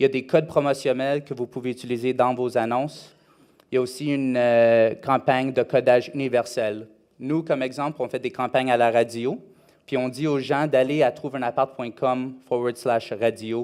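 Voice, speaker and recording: A man at a moderate pace and medium pitch, monotone and flat in intonation, on a very clean recording with a silent background. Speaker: conference speaker on rental marketing. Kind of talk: conference presentation. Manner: halting, many hesitations.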